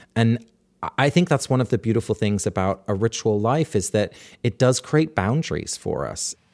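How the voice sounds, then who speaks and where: Recorded very cleanly against a silent background, a man with a medium pitch talks at a moderate pace with lively intonation in a dry, close sound with no echo. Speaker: author and rituals scholar. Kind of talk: interview. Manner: warm, thoughtful, humorous.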